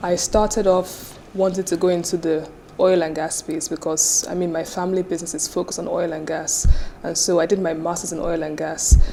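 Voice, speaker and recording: A woman with a Nigerian accent talks at a moderate pace in a fairly low voice with fairly even intonation. Noticeable background noise is present. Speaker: business founder and CEO. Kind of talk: interview.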